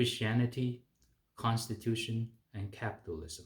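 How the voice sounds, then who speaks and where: In a Chinese accent, the speaker talks at a fairly slow pace with a somewhat breathy voice. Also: man. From China. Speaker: physician. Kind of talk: political advocacy talk. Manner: hesitant with fillers.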